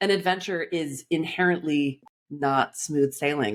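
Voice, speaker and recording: Speaking with a Californian accent, a woman sounds animated, her voice very deep and low. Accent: Californian American. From Los Angeles, US. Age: 40s. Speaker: life coach. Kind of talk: podcast interview.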